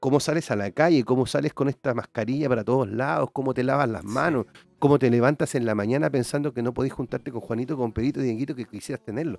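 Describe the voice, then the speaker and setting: In a dry, close recording with no echo, a man talks very fast with hardly any pauses. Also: medium pitch for a man, ordinary pitch variation. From Chile, Quillota (Valparaíso region). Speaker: musician, band member. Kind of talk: casual interview chat. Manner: hesitant, repeats words.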